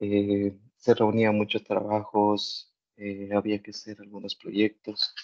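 Against a quiet background, a man speaks at a very slow pace with a fairly low pitch, monotone, flat intonation and big swings in loudness. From Ecuador. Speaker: master's student. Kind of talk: online webinar, student testimony. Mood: relaxed, positive. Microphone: video call.

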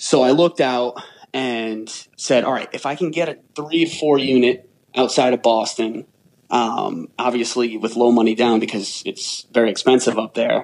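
With an American accent, this man has a normal speaking voice of medium pitch, fairly even intonation and a moderate pace. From Rhode Island, US. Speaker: real estate investor. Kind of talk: interview.

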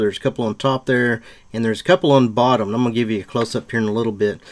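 A man speaks with ordinary pitch variation, and the background is quiet. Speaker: auto repair instructor. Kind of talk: tutorial. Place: open country.

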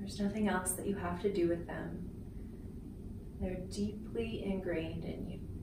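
A soft-spoken woman with a gentle tone, amid noticeable background noise and audible room echo. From Canada. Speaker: Reiki healer and spiritual coach. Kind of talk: guided Reiki chakra balancing meditation. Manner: soft-spoken, gentle. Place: home room.

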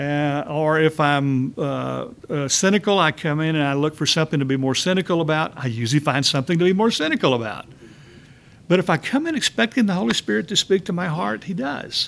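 Talking at a fairly quick pace in a Texan accent, a man has a fairly high pitch and lively intonation. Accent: Texan Southern US. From Texas. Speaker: Bible study teacher. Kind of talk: church Bible study lecture. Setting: church. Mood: warm, smiling, animated. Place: classroom. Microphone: podium.

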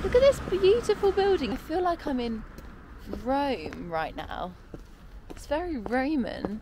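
A woman talks at a fairly slow pace in a high pitch, with very wide pitch swings. The sound is dry with no echo, though background noise is noticeable. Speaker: travel vlogger. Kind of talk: casual vlog chat. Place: street. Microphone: phone near.

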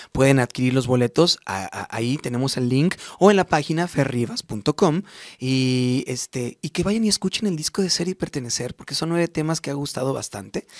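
A man with a Mexican accent talks at a moderate pace and a fairly high pitch. His intonation is lively, and the background is quiet. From Mexico, Morelia, Michoacán; Michoacán, Mexico. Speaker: singer; interviewee. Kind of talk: radio interview. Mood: warm, grateful. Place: studio. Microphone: studio mic.

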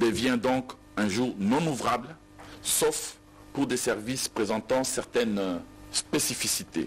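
Lively intonation marks this man's medium-pitched voice. He speaks at a very slow pace. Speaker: government minister. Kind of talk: official statement. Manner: formal. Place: hall. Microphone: podium.

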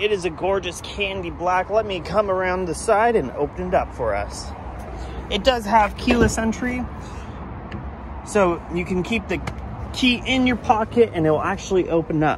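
Long, frequent pauses in a dry sound with no echo, over noticeable background noise. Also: moderate pace. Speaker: car salesperson. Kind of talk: sales walkaround presentation. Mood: upbeat, friendly sales tone. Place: street. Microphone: phone near.

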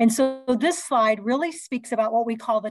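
Somewhat breathy, this woman's voice sits fairly high in pitch and shows ordinary pitch variation. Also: dry sound with no echo. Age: 60s. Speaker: fitness educator and hospital fitness director. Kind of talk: conference presentation. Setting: video call. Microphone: video call.

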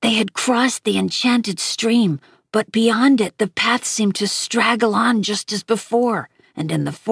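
The background stays quiet. Someone reads aloud in a natural voice.

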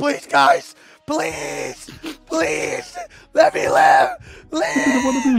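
A man speaks in a put-on character voice. His pace is very slow. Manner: scared, pleading.

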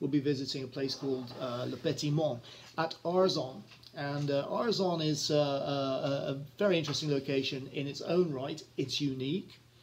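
Light background noise behind a man at a moderate pace with ordinary pitch variation. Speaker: travel vlogger. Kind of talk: casual talk introducing a video. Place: home room. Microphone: phone near.

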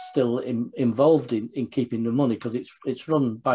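Using fairly even intonation, a man talks at a moderate pace. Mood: warm, reminiscing. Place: home room. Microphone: video call.

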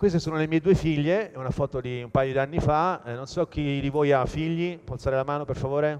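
A man talks at a fairly quick pace with fairly even intonation over light background noise. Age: 40s. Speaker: sustainability entrepreneur; conference speaker. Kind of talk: conference talk. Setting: stage with audience. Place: hall.

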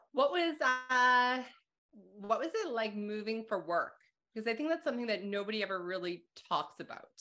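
With a Canadian accent, a woman talks at a fairly quick pace in a bright, sharp tone and fairly high pitch, her lively intonation broken by long, frequent pauses over a quiet background. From Calgary, Alberta; Alberta. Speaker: accounting instructor and podcast host; accounting instructor, podcast host. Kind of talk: interview conversation. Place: home room. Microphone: video call.

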